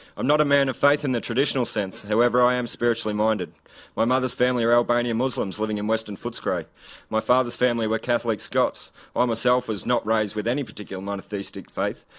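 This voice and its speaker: A man with an Australian accent at medium pitch, very fast pace and fairly even intonation, on a very clean recording with a silent background. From Australia, rural Gippsland, Victoria. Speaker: political candidate. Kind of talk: political speech. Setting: live event with audience.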